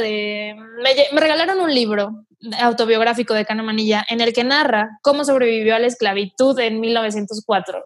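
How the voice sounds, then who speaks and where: A woman's fairly high pitch at a moderate pace, with ordinary pitch variation. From northeastern Mexico (Mante, Tamaulipas). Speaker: singer-songwriter. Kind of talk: casual interview.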